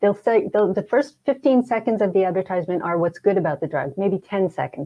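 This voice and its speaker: With an American accent, a woman talks in an ordinary speaking voice at a medium pitch. Her pace is fairly quick and her intonation lively. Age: 60s. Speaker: hypnotherapist and grief counselor. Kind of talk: interview conversation.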